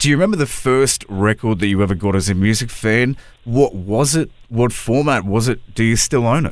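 A man with an Australian accent, medium pitch, very even loudness and a fairly quick pace. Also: ordinary pitch variation. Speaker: radio host and podcaster. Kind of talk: interview. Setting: studio.

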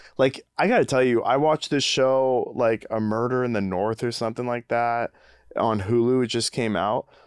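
Here is a man with an ordinary speaking voice, medium pitch and fairly even intonation. He keeps a moderate pace over a quiet background. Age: 30s. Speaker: podcast co-host. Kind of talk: casual chat.

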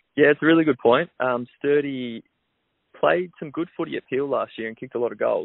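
Speaking at a fairly quick pace, a man with an Australian accent has a fairly high pitch and big swings in loudness. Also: ordinary pitch variation. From Melbourne, Australia. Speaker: professional footballer. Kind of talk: radio interview. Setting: phone call. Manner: hesitant, many fillers.

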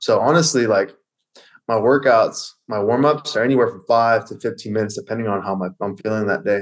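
Against a quiet background, a man speaks at a fairly quick pace in an unremarkable speaking voice, with medium pitch and ordinary pitch variation. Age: 30s. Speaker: fitness coach. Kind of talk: casual chat.

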